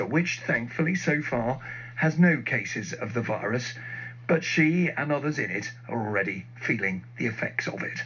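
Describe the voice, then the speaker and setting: Noticeable background noise accompanies a man talking at a moderate pace and medium pitch with lively intonation. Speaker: radio news presenter. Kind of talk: radio news interview.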